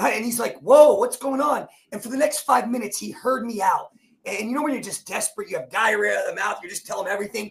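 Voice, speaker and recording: Someone with an American accent talks in an animated tone at a very fast pace. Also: man. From New Jersey. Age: 40s. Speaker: performance coach and speaker. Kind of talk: personal testimony in interview. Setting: live show. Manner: animated, emphatic storytelling.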